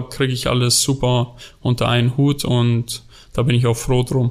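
The man's delivery is flat and monotone, held at a moderate speed. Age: 20s. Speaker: amateur goalkeeper. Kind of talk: casual interview. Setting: studio.

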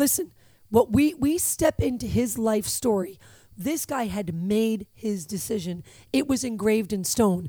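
A woman's fairly high, somewhat breathy voice, dark and mellow, with lively intonation at a fairly slow pace. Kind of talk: religious podcast talk.

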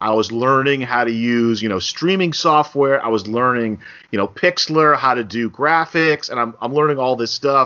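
At a moderate pace and with hardly any pauses, a man with a plain, everyday voice speaks at a medium pitch with ordinary pitch variation. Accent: American. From New Jersey (Bergen County). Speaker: podcast host, sports journalist. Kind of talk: casual interview.

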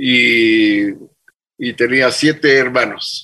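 A man talks very slowly in a bright, sharp tone. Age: 80s+. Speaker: business founder. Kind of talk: interview.

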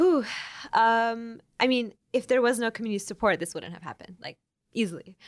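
Recorded very cleanly, dry and close with no echo and a silent background, a woman with an ordinary speaking voice and an American accent talks at a fairly high pitch, with lively intonation and big swings in loudness. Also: fairly quick pace. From Oklahoma. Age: 20s. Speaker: fashion activist and organizer. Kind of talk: interview.

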